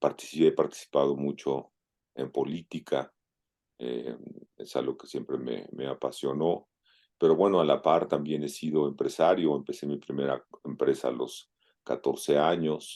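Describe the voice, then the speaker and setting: Speaking at a fairly slow pace, a man lets his loudness swing widely up and down. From Mexico City (Coyoacán). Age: 60s. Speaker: open-water swimmer. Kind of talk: interview. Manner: halting, many fillers.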